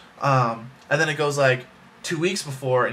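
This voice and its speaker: A man's fairly high-pitched voice at a fairly quick pace, over noticeable background noise. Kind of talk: casual talk to camera. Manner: fast.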